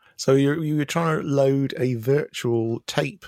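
Recorded with a dry, close sound, no echo and a silent background, a fairly high-pitched man speaks in a British accent. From UK. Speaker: podcast co-host, former games salesman. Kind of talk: casual chat.

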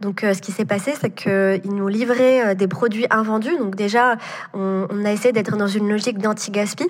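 A woman talks at a moderate pace, with noticeable background noise around her. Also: medium pitch for a woman, ordinary pitch variation. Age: 20s. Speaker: entrepreneur. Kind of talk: interview. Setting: remote recording. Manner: hesitant, many fillers.

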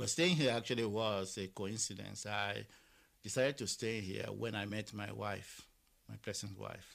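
A man with a Nigerian accent speaks at a moderate pace. His fairly low voice carries vocal fry. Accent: Nigerian (Yoruba) English. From Nigeria, Lagos. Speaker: Nigerian immigrant in Ireland. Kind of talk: interview testimony. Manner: halting, with many repetitions.

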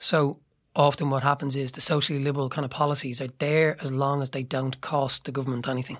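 On a very clean recording with a silent background, a man with an Irish accent talks very fast at a fairly high pitch in a monotone, flat delivery. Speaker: playwright and actor. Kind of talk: casual discussion.

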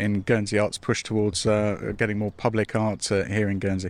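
At a moderate pace, the speaker is heard on a very clean recording with a silent background. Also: man. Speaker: podcast host. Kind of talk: interview. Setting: outdoors.

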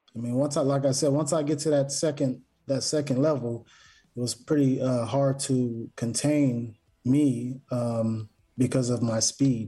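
A man speaks at a fairly slow pace in an ordinary speaking voice, medium in pitch. His loudness stays very even and his intonation fairly even, against a quiet background. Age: 40s. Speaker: former pro football player. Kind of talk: casual interview.

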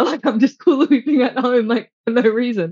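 The background stays quiet. A woman talks at a fairly high pitch. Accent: Australian. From Australia. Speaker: endurance cyclist and hula hooper. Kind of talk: casual interview chat. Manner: animated.

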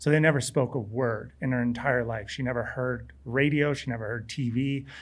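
Speaking with an American accent, a man keeps a medium pitch and fairly even intonation at a moderate pace. Audible room echo surrounds his voice. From California beach town. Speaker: professional skier. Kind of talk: live interview before audience. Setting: outdoor stage with audience.

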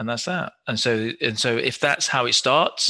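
A man with a British accent, a medium pitch and a bright, sharp tone. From England. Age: 50s. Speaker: physiotherapist. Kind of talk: interview.

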